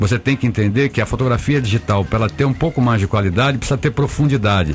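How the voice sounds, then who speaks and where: Over music in the background, a man talks at a medium pitch. His intonation is lively. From Rio de Janeiro, Brazil. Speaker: photographer. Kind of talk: radio interview.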